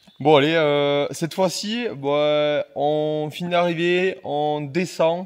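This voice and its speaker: Amid noticeable background noise, a man speaks at a very slow pace with hardly any pauses, his fairly high pitch held in fairly even intonation. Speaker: mountain bike video creator. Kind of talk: casual chat.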